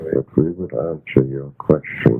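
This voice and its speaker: A man's solemn, very deep, low voice with ordinary pitch variation amid noticeable background noise. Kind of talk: trance channeling of a spirit message. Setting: home tape recording with household noise. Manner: slow, solemn, archaic phrasing.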